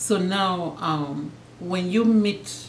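A woman's voice with light background noise. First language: Cameroonian Pidgin. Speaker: YouTuber; vlogger teaching her husband. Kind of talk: casual chat. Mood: playful, warm. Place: home room.

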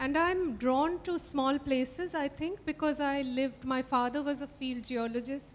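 At a moderate pace and with hardly any pauses, a woman speaks in a high pitch with fairly even intonation. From India. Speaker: novelist. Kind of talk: literary festival conversation. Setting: stage with audience. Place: stage. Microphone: handheld.

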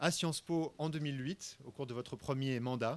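A fairly high-pitched man at a moderate pace, with fairly even intonation. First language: French (speaking Spanish). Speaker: university director; guest. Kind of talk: formal welcome speech. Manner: formal. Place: hall. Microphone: podium.

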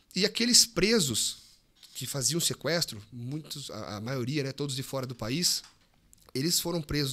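Bright and sharp in tone, a man speaks at a moderate pace with lively intonation and a fairly high pitch. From Brazil, Piracicaba (São Paulo interior); São Paulo, Brazil. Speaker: police officer; podcast guest. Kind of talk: casual interview chat. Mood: serious, explanatory. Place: studio. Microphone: studio mic.

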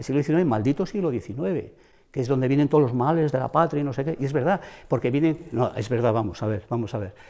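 This man's tone is dark and mellow. He speaks at a fairly quick pace. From Ponferrada, El Bierzo, León, Spain; Spain. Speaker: retired schoolteacher. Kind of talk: interview. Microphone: lapel.

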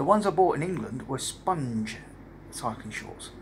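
A man talks at a moderate pace over noticeable background noise. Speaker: cycling traveller vlogger. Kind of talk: casual vlog chat. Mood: relaxed, pleased. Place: home room. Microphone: phone near.

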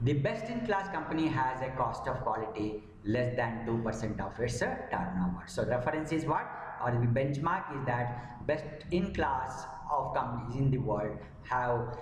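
The loudness stays very even, with light background noise and audible room echo. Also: man, ordinary pitch variation, moderate pace. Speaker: quality management trainer. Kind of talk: lecture.

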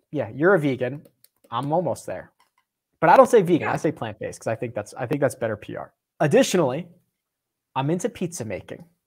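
Speaking very fast with an American accent, a somewhat breathy man swings very widely in pitch and greatly in loudness, leaving long, frequent pauses. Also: quiet background. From Philadelphia. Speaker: podcast host. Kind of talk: casual chat. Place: home room. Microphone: lapel.

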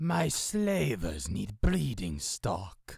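A put-on character voice, pitched low, is delivered at a very slow pace. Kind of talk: video game character voice.

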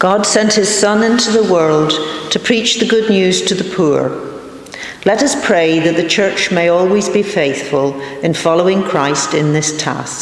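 A woman speaks at a fairly slow pace, with audible echo from the room. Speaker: reader of intercessions. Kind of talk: reading prayers of the faithful. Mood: calm, reverent. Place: church. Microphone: podium.

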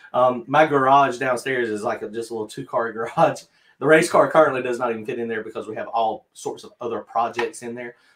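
Talking at a very fast pace in a Southern US accent, a man keeps his intonation fairly even. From North Carolina. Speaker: drag racer and channel host. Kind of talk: live-stream Q&A chat. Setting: video call. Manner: casual, laughs often. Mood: relaxed, friendly. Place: home room.

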